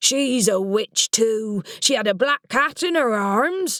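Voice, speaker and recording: A woman does a put-on character voice, growling and gruff at a fairly high pitch. Her intonation is lively and her pace fairly slow. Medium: read story. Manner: gruff, snarling.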